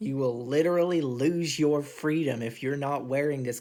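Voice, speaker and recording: A man's voice at medium pitch, with fairly even intonation. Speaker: vlogger. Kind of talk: casual monologue rant.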